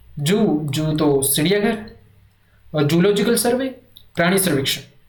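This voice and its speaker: At a very slow pace, a man with a high pitch speaks amid audible room echo. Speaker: Hindi exam coaching teacher. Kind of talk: revision lecture.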